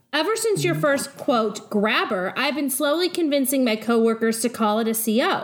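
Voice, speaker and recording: With noticeable background noise around her, a woman talks at a moderate pace with hardly any pauses, a high pitch, lively intonation, and very even loudness. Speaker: podcast co-host reading listener mail. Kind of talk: reading aloud.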